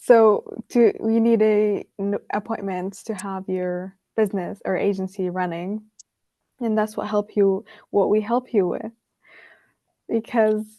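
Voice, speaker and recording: A woman uses a put-on, robotic character voice at a medium pitch. She talks at a fairly slow pace with long, frequent pauses. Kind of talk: stilted. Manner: flat, robotic, mechanical.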